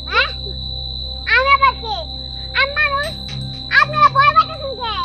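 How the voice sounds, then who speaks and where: A put-on character voice delivers the lines at a moderate pace. Faint music plays in the background. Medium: short film. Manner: sly, eerie laughter.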